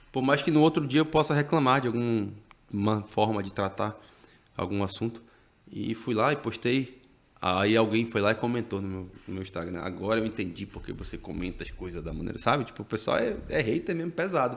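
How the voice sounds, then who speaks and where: A man with a medium pitch and relaxed tone talks at a moderate pace, using lively intonation and big swings in loudness. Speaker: journalist and TV news anchor. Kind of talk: casual interview chat.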